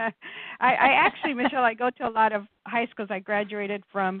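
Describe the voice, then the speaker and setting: Ordinary pitch variation from a woman at a moderate pace. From USA, raised by a Spanish-speaking single mother. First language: Spanish. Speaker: business owner and CEO of a safety consulting firm. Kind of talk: radio interview. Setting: radio interview. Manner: animated.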